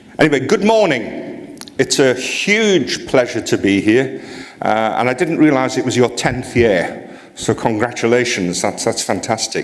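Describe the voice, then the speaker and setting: A man talks at a fairly slow pace with hardly any pauses, against noticeable background noise. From northeast England, near Newcastle. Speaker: HR association president, conference speaker. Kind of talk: conference keynote. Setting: stage with audience. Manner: speeds up when excited.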